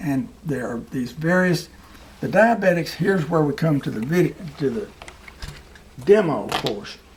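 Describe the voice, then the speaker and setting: Against noticeable background noise, a man with a fairly high pitch and lively intonation talks at a moderate pace, leaving long, frequent pauses. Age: 70s. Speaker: physician. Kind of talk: medical lecture. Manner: serious, sober.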